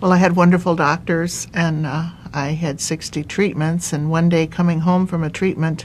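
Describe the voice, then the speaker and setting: Over noticeable background noise, a woman talks at a moderate pace with a fairly low pitch and monotone, flat intonation. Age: 70s. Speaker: cancer survivor. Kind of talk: testimony. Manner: halting.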